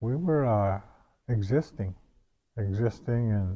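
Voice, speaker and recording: A man's fairly low, dark, mellow voice at a very slow pace, with ordinary pitch variation. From northwestern Ontario, Canada (First Nations). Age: 60s. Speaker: residential school survivor, elder. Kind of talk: personal testimony. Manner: halting, with frequent fillers and repetitions.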